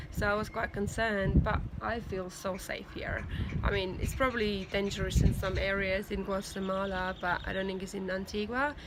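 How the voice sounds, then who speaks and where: A woman in a monotone, flat intonation, with audible room echo. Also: medium pitch for a woman, moderate pace. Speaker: video blogger, language student abroad. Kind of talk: video diary. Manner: hesitant, many fillers.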